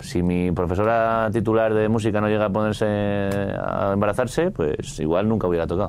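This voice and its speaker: Against noticeable background noise, a man with a fairly low pitch keeps a moderate pace and very even loudness, with hardly any pauses. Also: ordinary pitch variation. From Spain, Madrid area. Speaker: rock musician. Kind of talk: casual interview.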